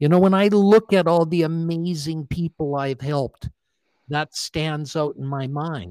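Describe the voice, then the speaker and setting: A man with a Canadian accent speaks in a normal speaking voice, fairly high in pitch with ordinary pitch variation. The recording is very clean with a silent background, and the sound is dry and close with no echo. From Canada, Alberta (Calgary). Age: 60s. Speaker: motivational speaker and author, former dermatologist. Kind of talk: podcast interview.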